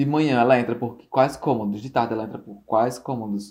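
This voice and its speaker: Fairly quick male speech at medium pitch, dark and mellow in tone, with fairly even intonation. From Natal, northeastern Brazil. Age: 20s. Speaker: photographer. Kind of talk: interview.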